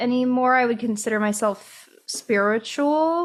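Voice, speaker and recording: A woman speaks with a Midwestern accent. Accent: Midwest US. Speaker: podcast co-host. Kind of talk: casual chat.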